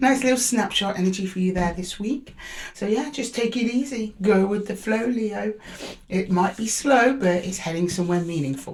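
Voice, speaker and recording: Speaking with a British accent, a woman uses a medium pitch, ordinary pitch variation and a moderate pace. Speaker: tarot reader. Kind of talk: tarot reading.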